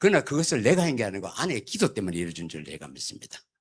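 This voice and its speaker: Very fast and marked by vocal fry, a man's bright, sharp tone comes through a very clean recording with a silent background. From South Korea, Gyeongsangbuk-do (Yeongcheon). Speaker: church elder. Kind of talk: sermon. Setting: church. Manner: humorous storytelling.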